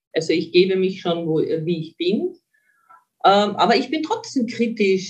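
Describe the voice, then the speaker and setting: Somewhat breathy woman's voice at a medium pitch, fairly slow pace. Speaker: mental trainer. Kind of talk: interview.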